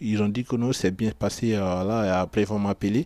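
The recording is very clean, with a silent background. A man speaks at a fairly low pitch with a dark, mellow tone. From Ivory Coast. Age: 20s. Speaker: aspiring footballer and construction worker. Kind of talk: radio portrait interview. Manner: halting.

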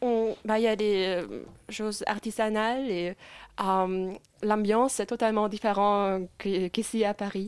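With a German accent, a woman speaks at a very slow pace and medium pitch in monotone, flat intonation, captured in a very clean recording with a silent background. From Germany, Leipzig and Munich. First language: German (speaking French). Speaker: law student. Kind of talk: casual interview. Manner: halting.

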